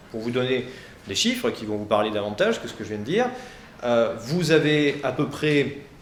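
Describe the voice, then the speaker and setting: A man talking at a fairly quick pace with lively intonation, audible room echo and noticeable background noise. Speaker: law professor. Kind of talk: presentation to high school students. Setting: lecture hall. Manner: fast; hesitant, many fillers.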